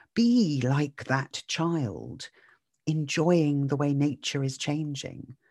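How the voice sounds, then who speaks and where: A very slow British accent in a dry, close sound with no echo, against a quiet background. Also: woman. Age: 50s. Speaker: mindset podcaster. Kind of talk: solo podcast monologue. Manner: warm, reflective.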